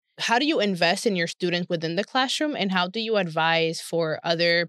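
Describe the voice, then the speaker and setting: Against a quiet background, a woman with an American accent and an unremarkable speaking voice talks at a fairly quick pace and a fairly low pitch. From New York. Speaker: podcast host. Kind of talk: interview.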